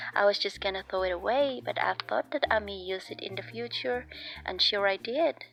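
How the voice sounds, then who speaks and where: With a non-native accent, a woman speaks using very wide pitch swings. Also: medium pitch for a woman, fairly quick pace. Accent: noticeable non-native English. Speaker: sewing content creator. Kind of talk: tutorial. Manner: casual, chatty.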